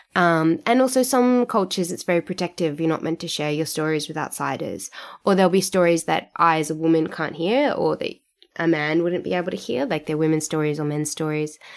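The speaker has an Australian accent. The intonation is lively and the pace fairly quick. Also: woman, fairly low pitch for a woman. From Sydney, Australia. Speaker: writer, performer and podcaster. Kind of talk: casual interview chat. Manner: laughs often.

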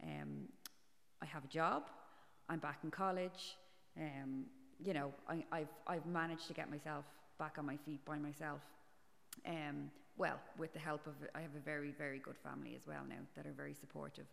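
A woman with an Irish accent speaks at a moderate pace, leaving long, frequent pauses. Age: 40s. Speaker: podcast guest. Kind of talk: casual interview. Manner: halting.

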